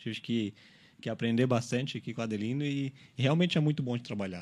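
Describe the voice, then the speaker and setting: In a very clean recording with a silent background, a man speaks in a normal speaking voice at medium pitch. He moves at a fairly quick pace with lively intonation. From Araranguá, Santa Catarina, Brazil. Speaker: store manager. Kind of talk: radio interview. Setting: radio studio.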